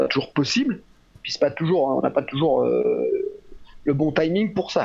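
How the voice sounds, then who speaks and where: The man speaking has a high pitch. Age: 60s. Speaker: physiotherapist and trainer. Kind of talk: interview. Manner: halting, many fillers.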